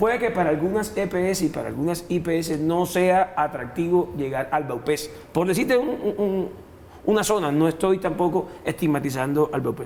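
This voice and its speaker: A man's high voice, its pitch varying in an ordinary way. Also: moderate pace. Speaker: senator. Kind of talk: heated debate. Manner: halting.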